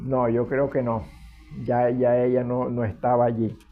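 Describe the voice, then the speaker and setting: Over music in the background, a man talks at a very slow pace in a medium pitch. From Venezuela, Zulia (Machiques). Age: 80s+. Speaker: retired history teacher. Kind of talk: interview. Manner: halting.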